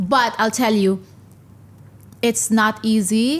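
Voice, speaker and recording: Her voice is somewhat breathy, with a Filipino accent. This woman speaks at a medium pitch with ordinary pitch variation. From Philippines. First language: not English (Filipino language). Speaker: stand-up comedian. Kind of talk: interview. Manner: hesitant, with fillers.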